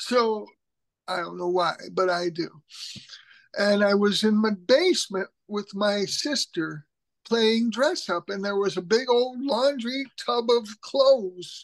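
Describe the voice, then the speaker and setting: A woman with an American accent, medium pitch, ordinary pitch variation and a very slow pace. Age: 60s. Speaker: writer and humorist. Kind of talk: interview, personal story.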